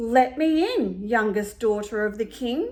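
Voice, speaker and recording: A woman's put-on character voice, fairly high in pitch. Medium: read story.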